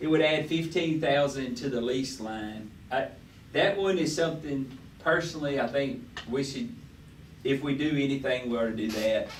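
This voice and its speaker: With an American accent, a man speaks at a fairly high pitch and a moderate pace. Audible room echo is present. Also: ordinary pitch variation. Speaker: city official presenting budget. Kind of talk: budget workshop meeting discussion. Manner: halting, many fillers; speaking loudly.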